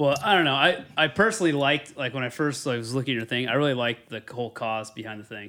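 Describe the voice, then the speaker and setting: A man's medium-pitched voice with lively intonation, at a very fast pace with hardly any pauses. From Northern California. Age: 30s. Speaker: podcast co-host. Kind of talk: casual chat.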